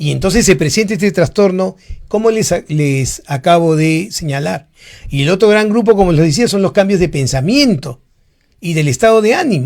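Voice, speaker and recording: A man speaks in a high pitch with lively intonation at a moderate pace. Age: 60s. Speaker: psychiatrist. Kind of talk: educational talk. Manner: rhetorical, engaging audience.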